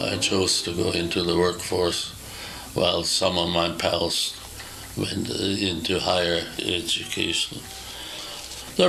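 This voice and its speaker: A man with a very deep, low pitch speaks at a fairly slow pace with fairly even intonation. Room echo and noticeable background noise are audible. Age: 80s+. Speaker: retired carpenter and former deacon. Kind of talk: interview reminiscence. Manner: halting, many hesitations.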